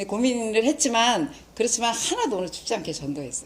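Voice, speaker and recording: A woman talking at a very fast pace with lively intonation, on a very clean recording with a silent background. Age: 60s. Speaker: lay church evangelist, lecturer. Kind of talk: lecture.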